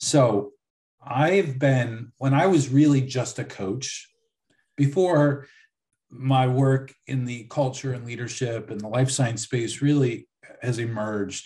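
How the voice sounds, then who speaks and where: Somewhat breathy and dark, mellow in tone, a man with an American accent talks at a fairly slow pace, his medium pitch showing ordinary variation. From US, Buffalo, New York. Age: 40s. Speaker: leadership coach. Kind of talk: interview.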